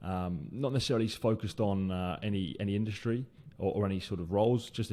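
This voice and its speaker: Here a man talks in a British accent at a fairly quick pace. His fairly low voice has a dark, mellow tone and ordinary pitch variation. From UK. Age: 20s. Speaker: recruiter and podcast host. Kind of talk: solo podcast monologue. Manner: hesitant, many fillers and repetitions.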